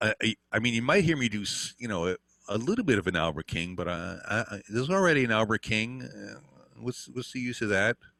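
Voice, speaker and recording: A man talks at a fairly quick pace and medium pitch, his bright, sharp tone edged with vocal fry and lively intonation. The very clean recording has a silent background and a dry, close sound with no echo. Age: 60s. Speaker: guitar teacher. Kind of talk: interview. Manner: halting.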